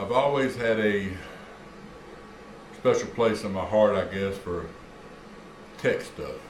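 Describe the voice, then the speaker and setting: Noticeable background noise and audible room echo surround a man with a fairly low pitch. He talks at a fairly slow pace with fairly even intonation and long, frequent pauses. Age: 60s. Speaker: retired hobbyist YouTuber. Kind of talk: casual vlog monologue. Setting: garage. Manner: hesitant, many fillers.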